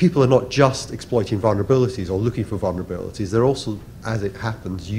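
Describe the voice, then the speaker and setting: Light background noise sits behind a man with a fairly low pitch and ordinary pitch variation. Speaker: conference presenter. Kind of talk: conference talk. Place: hall.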